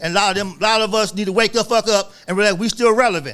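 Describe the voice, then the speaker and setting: Over music in the background, a man speaks at a very fast pace in a high pitch. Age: 60s. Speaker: author and guest. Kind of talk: casual chat. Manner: animated.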